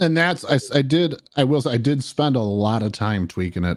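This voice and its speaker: Speaking in a normal speaking voice, a man talks at a fairly quick pace with lively intonation in a very clean recording with a silent background. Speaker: musician and streamer. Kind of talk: casual chat. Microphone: studio dynamic mic, well tuned.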